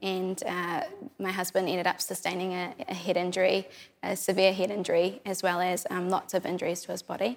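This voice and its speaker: A woman with a New Zealand accent, medium in pitch, fairly quick and monotone with flat intonation. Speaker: churchgoer sharing testimony. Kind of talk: testimony.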